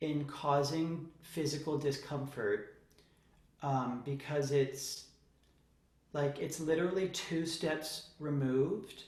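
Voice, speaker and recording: A man speaks at a very slow pace with monotone, flat intonation. His voice is fairly high and somewhat breathy. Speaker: voice teacher. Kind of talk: voice lesson instruction.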